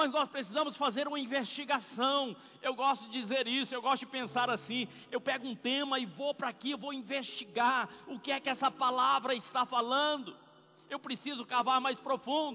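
Speaking at a moderate pace, a man has an extremely high pitch. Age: 60s. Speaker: preacher. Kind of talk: sermon. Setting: church.

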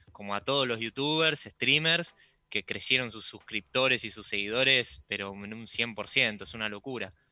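A man speaks at a moderate pace in a normal speaking voice with ordinary pitch variation. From Argentina, Buenos Aires. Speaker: YouTube creator. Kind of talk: radio interview.

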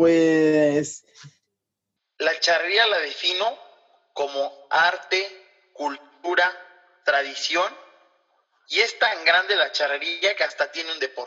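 Long, frequent pauses break up speech at a very slow pace, delivered with a Mexican accent. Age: 20s. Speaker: charro rider and lawyer. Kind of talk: casual interview chat.

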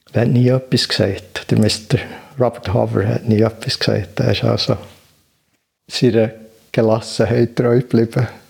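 A man speaks in a flat monotone with vocal fry at medium pitch and a moderate pace, keeping very even loudness and taking long, frequent pauses. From Switzerland, Bern. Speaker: meditation teacher. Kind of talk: interview. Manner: hesitant, many filler sounds.

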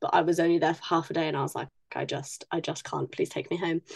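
A woman with a British accent. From UK. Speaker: podcast co-host, writer. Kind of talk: casual chat.

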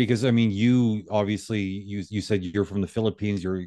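A man talks with fairly even intonation at a fairly low pitch, his tone dark and mellow. The sound is dry and close, with no echo. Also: quiet background. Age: 50s. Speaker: reconciliation coach. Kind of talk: interview.

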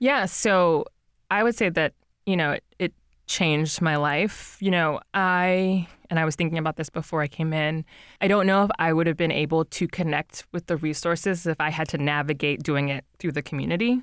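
In a very clean recording with a silent background and a dry, close sound with no echo, a woman with an American accent uses a plain, everyday voice, fairly low in pitch with ordinary pitch variation, very even loudness and a moderate pace. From New Jersey. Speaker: physician, preventive medicine resident. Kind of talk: interview about personal mental health.

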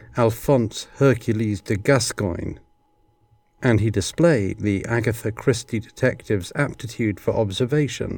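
Somewhat breathy, a man speaks fairly slowly at a medium pitch with ordinary pitch variation. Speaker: podcast host. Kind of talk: casual podcast commentary and show sign-off. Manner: conversational, analytical.

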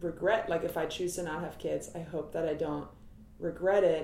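This speaker has an American accent and fairly even intonation. The room echo is audible. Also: woman. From US Midwest (Cincinnati, Ohio). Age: 30s. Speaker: comedian. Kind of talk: casual chat.

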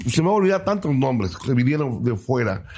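A man's somewhat breathy, medium-pitched voice with lively intonation. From Mexico, Chiapas (Cintalapa). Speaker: singer-songwriter. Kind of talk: interview.

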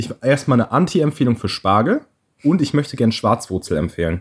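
At a fairly quick pace, a man speaks at a medium pitch. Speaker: podcast co-host. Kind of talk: casual chat. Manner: animated.

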